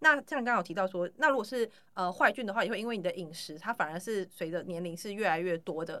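A woman speaks at a very fast pace with hardly any pauses, her medium-pitched voice bright and sharp, on a very clean recording with a silent background. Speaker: podcast host and bakery owner. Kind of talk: interview.

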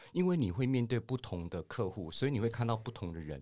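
In a very clean recording with a silent background, a man talks at medium pitch. His intonation is lively and his pace very fast. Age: 50s. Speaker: finance professional. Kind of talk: casual interview.

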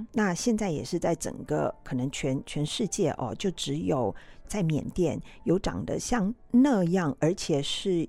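A woman with a fairly low pitch and a dark, mellow tone speaks at a very slow pace with very wide pitch swings and vocal fry on a very clean recording with a silent background. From Taiwan, New Taipei (Zhonghe). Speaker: ethnomusicology professor. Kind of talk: interview.

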